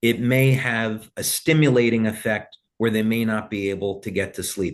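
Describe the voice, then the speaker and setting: A plain, everyday voice from a man, medium in pitch, at a moderate pace with ordinary pitch variation. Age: 60s. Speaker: company founder. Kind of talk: interview.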